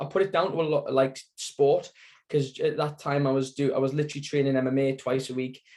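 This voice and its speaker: Dark and mellow describes this man's tone. His words come at a fairly quick pace. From northeast England, Sunderland. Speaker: cancer survivor, support group founder. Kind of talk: interview testimony. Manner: hesitant, many fillers.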